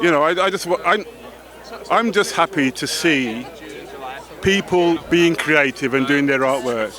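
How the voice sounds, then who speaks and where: The speaker goes at a fairly slow pace with lively intonation and long, frequent pauses, over noticeable background noise. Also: man, fairly high pitch for a man. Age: 60s. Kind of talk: red carpet interview. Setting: outdoors at awards red carpet.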